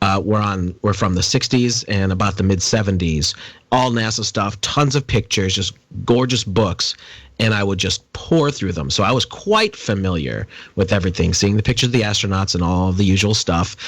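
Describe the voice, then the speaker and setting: A man at a fairly low pitch and moderate pace, with ordinary pitch variation, on a very clean recording with a silent background. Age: 40s. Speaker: podcast guest. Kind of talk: casual interview chat. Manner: halting, with fillers.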